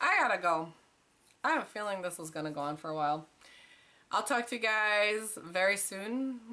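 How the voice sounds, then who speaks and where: A woman's voice with lively intonation against noticeable background noise. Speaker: weight loss vlogger. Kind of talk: casual vlog monologue. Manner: rambling, scattered delivery.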